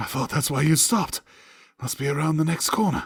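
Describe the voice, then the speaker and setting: In a put-on character voice, the speaker sounds raspy and moves at a fairly quick pace with ordinary pitch variation. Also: man, fairly high pitch for a man. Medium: read story. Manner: self-satisfied, lazy.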